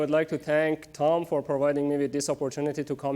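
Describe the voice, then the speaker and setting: A man speaks with a Persian accent at a fairly high pitch. His tone is dark and mellow. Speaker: research scientist. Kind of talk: public lecture. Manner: many fillers, hesitant.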